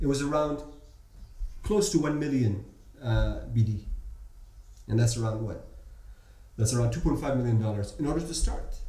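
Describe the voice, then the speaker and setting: Amid noticeable background noise, a man with an American accent and a medium pitch speaks at a fairly slow pace with long, frequent pauses. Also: ordinary pitch variation. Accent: Gulf Arab English, American-schooled. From Bahrain. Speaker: entrepreneur and startup mentor. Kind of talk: casual interview.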